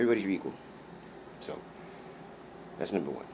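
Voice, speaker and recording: A man rushes along at a very fast pace amid audible echo from the room. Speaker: vlogger. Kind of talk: personal monologue vlog. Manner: halting, many fillers and restarts.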